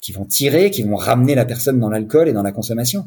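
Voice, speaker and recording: The voice is somewhat breathy, moving at a fairly quick pace with lively intonation. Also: man. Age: 40s. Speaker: sobriety coach. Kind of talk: testimony. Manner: halting.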